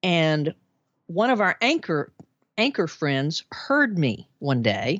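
Speaking with an American accent at a very slow pace, a woman uses a fairly low pitch with very wide pitch swings and very even loudness. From Arkansas, US South (Little Rock). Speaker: podcast host, former TV broadcaster. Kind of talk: casual interview testimony.

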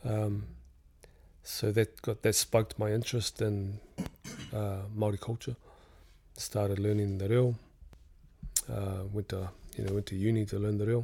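On a very clean recording with a silent background, a man with a fairly low pitch and a dark, mellow, somewhat breathy tone speaks at a moderate pace in a monotone, flat intonation with long, frequent pauses. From New Zealand. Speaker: businessman and artist. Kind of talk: casual interview chat. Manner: relaxed, conversational.

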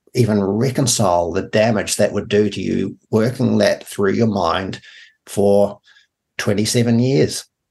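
A man speaks very slowly with a New Zealand accent. His pitch varies in an ordinary way. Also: long, frequent pauses. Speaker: radio host, former farm leader. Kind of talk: radio interview. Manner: halting.

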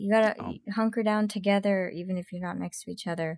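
Somewhat breathy speech proceeds at a moderate pace with fairly even intonation. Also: woman. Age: 30s. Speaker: podcast guest with chronic illness. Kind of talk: casual chat.

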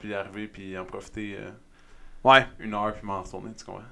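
Fairly low male voice with a bright, sharp tone at a fairly quick pace. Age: 20s. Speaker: fitness coach. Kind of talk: casual chat. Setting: studio.

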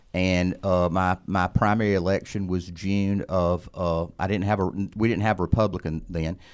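A man with an Alabama accent talks in a very deep, low pitch with flat, monotone intonation and hardly any pauses. The recording is very clean, with a silent background. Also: moderate pace. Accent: Southern US (Alabama). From Alabama, US South. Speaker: attorney and former legislator. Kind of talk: interview.

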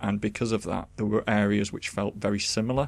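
On a very clean recording with a silent background, a man talks at a fairly quick pace in a fairly low pitch with fairly even intonation and vocal fry. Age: 30s. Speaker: video game podcast co-host. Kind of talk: casual chat. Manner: halting, many fillers and restarts.

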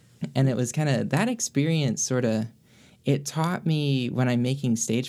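A man with an American accent talks at a moderate pace in a normal speaking voice of medium pitch. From North Carolina, Greensboro. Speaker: musician and orchestra personnel manager. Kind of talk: interview.

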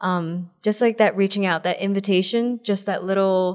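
A woman's ordinary speaking voice at a medium pitch, with an American accent and fairly even intonation. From New Jersey. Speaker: pre-K teacher. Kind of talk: casual chat. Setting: retreat.

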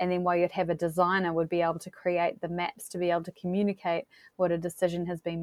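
In a New Zealand accent, a woman speaks at a very fast pace with a fairly low pitch and monotone, flat intonation. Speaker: geospatial data platform representative. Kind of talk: interview.

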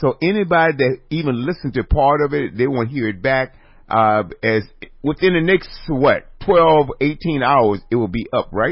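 This man has a fairly high pitch and a normal speaking voice. His intonation is lively and his pace moderate. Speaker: radio host. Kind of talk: casual chat.

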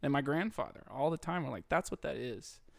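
A man talks at a fairly high pitch, his voice showing vocal fry. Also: very clean recording, silent background. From Tennessee (Clarksville). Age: 30s. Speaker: comedian and podcaster. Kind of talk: casual chat.

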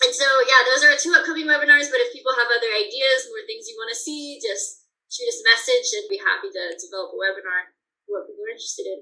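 Talking very fast in a raised, projected voice with an American accent, a woman has a high pitch, a bright, sharp tone, very wide pitch swings and big swings in loudness. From Colorado mountains. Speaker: bird banding researcher. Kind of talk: interview.

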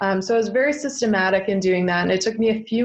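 A woman with a Canadian accent and a normal speaking voice, fairly even intonation, at a moderate pace. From eastern Ontario, Canada. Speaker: entrepreneur. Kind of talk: interview.

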